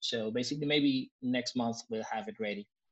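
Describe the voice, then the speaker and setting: A man with a Spanish accent speaks at a moderate pace in a medium pitch, his intonation fairly even. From Argentina. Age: 40s. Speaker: improviser and improv teacher. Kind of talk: casual chat.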